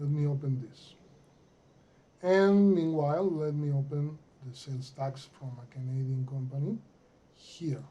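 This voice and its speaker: Against noticeable background noise, a man with a Mexican accent talks with ordinary pitch variation and long, frequent pauses. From Mexico. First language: Spanish. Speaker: accounting software consultant. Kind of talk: tutorial. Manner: halting, many fillers.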